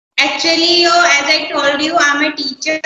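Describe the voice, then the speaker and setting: A woman uses a raised, projected voice with ordinary pitch variation. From India, Uttar Pradesh. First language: Hindi. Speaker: schoolteacher learning English. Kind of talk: casual conversation practice.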